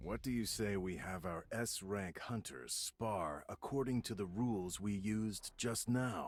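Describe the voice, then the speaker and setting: In a very clean recording with a silent background, a man does a cartoonish character voice at fairly low pitch, moving at a fairly slow pace with hardly any pauses and ordinary pitch variation. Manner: calm, self-assured.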